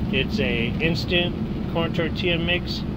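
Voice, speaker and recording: Loud background noise fills this dry recording, which has no echo. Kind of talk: tutorial. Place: car. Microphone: phone near.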